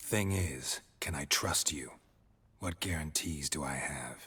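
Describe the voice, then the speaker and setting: A man puts on a character voice with a very deep, low pitch. He speaks at a fairly slow pace. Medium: video game. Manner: terse, dry, flat.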